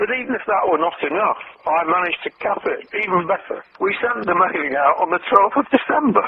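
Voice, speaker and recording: Over noticeable background noise, a man with a British accent talks at a fairly quick pace with lively intonation. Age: 70s. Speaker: copywriter. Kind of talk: interview.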